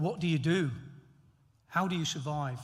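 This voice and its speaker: The speaker talks at a fairly slow pace in an East Midlands accent, with ordinary pitch variation. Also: man. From England, Nottingham. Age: 60s. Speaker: honorary graduate, former elite athlete. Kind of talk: graduation acceptance speech.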